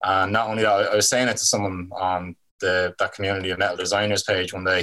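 Speaking at a moderate pace in a Dublin accent, a man has a bright, sharp tone. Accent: Irish (Dublin). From Ireland, Dublin. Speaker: album cover artist. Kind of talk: casual chat.

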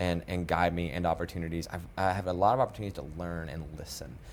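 A man with a very deep, low pitch and an American accent, talking at a very fast pace. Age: 30s. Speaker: nonprofit executive director. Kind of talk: interview.

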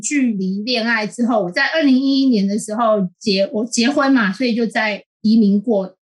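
A woman's intonation is lively. She keeps to a moderate pace. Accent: Taiwanese. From Taiwan. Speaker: columnist. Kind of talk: interview. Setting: remote call.

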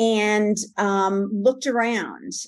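Against a quiet background, the speaker talks with a New York accent. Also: woman. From New York area (Manhattan, Long Island, New Jersey). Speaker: promotional products seller. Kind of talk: interview.

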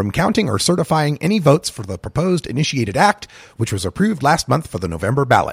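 A man speaks at a very fast pace with very wide pitch swings. His voice is somewhat breathy. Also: dry, close sound with no echo. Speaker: news reader. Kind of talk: scripted newsreading, formal broadcast delivery of headlines. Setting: studio. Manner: brisk, even, authoritative; formal, neutral.

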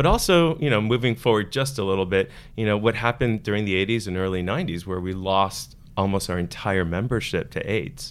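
A man with an American accent, fairly low-pitched, at a fairly quick pace with ordinary pitch variation, on a very clean recording with a silent background. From Miami, Florida. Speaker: choir executive director. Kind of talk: interview. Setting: studio. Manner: halting, many fillers.

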